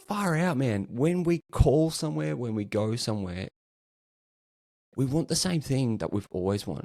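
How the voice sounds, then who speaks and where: Recorded dry and close with no echo, a man with an Australian accent speaks at a moderate pace in a dark, mellow, medium-pitched voice, with very wide pitch swings and long, frequent pauses. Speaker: customer experience practitioner. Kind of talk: casual interview chat.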